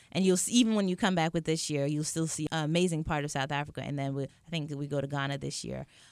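A woman speaks at a very fast pace with hardly any pauses, her pitch very deep and low, on a very clean recording with a silent background. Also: ordinary pitch variation. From Jamaica, raised in Atlanta. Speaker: entrepreneur, cycling studio owner. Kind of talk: interview. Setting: studio.

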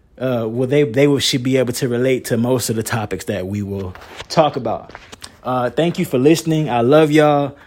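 A man talks at a fairly quick pace at a medium pitch. His pitch varies in an ordinary way, and background noise is noticeable. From North Carolina, Moore County. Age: 20s. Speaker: podcaster and singer. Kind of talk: solo podcast monologue. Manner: energetic.

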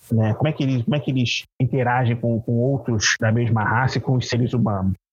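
This man talks at a medium pitch for a man. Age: 30s. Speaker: tabletop RPG game master. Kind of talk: casual interview. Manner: halting, many repetitions.

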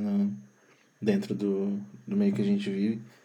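The speaker is a man. Room echo can be heard in the recording. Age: 30s. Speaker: sound producer. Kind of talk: casual chat.

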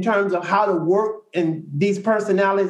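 Audible room echo surrounds this man's high voice. He keeps a moderate pace with fairly even intonation. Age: 50s. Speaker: social worker and spiritual coach. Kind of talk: group discussion.

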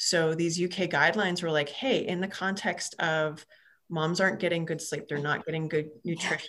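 In a plain, everyday voice, a woman speaks at a moderate pace with a fairly low pitch. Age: 40s. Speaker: physical therapist. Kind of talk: casual interview chat.

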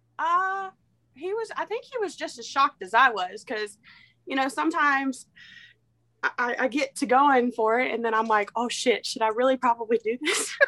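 A woman with a high, bright, sharp voice projects it loudly at a moderate pace, her pitch swinging very widely on a very clean recording with a silent background. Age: 20s. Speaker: podcast guest. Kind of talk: casual chat.

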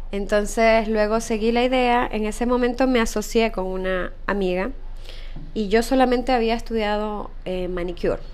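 Her fairly high voice carries audible room echo as this woman speaks at a moderate pace with fairly even intonation. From Ecuador. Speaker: entrepreneur, spa business founder. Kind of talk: interview.

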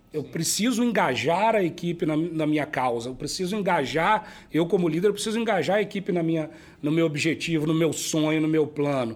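It's an ordinary speaking voice that moves at a fairly quick pace. Its pitch varies in an ordinary way. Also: man, fairly high pitch for a man. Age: 40s. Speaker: company director and business school professor. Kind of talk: casual business interview. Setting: brewery.

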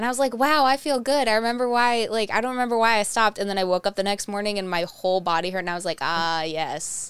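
A woman speaks at a very fast pace with hardly any pauses, in a Northeast Ohio accent. Her pitch is fairly high and her intonation lively. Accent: Midwestern American (Northeast Ohio). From Ohio, Twinsburg near Cleveland. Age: 20s. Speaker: podcast host. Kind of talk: casual chat.

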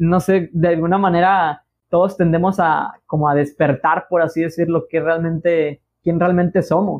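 With a Mexican accent, a man speaks at a high pitch and a fairly slow pace. His intonation is monotone and flat, and his loudness stays very even. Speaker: podcast host. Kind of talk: casual chat.

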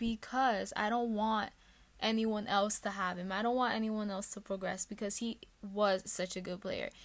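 A woman with an American accent and a normal speaking voice talks at a moderate pace with a fairly high pitch. The recording is very clean, with a silent background. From New York, the Bronx. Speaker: student podcast host. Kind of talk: casual podcast narration and interview.

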